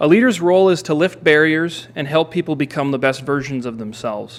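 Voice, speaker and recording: A man with an Upper Midwest accent talks very fast, his fairly high pitch showing ordinary variation. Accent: Upper Midwest (Minnesota). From Minnesota (Hastings). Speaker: city council candidate. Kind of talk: candidate forum statement.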